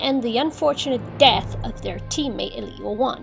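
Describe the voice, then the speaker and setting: Music plays in the background while a woman talks. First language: not English. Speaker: cartoon reviewer. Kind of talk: video review narration.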